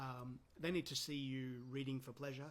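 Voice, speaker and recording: A man with a medium-pitched voice speaks in a somewhat breathy way. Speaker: counsellor. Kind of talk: casual talk to camera. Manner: hesitant with many ums.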